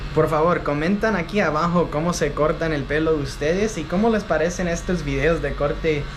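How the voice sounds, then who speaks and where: Moderate pace against noticeable background noise. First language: English (speaking Spanish). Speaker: travel vlogger. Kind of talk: casual vlog talk to camera. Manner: halting, many fillers.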